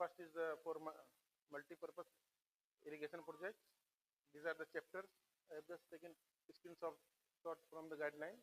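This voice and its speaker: Long, frequent pauses break up a man's fairly quick pace. His fairly high pitch stays monotone and flat. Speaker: engineer lecturer on flood management. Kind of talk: lecture. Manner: fast; hesitant with fillers.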